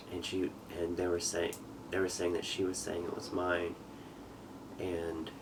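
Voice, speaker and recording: A man with an American accent speaks at a moderate pace in a very deep, low pitch with monotone, flat intonation. Audible room echo and noticeable background noise are present. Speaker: father telling his life story. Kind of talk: testimony. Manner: halting.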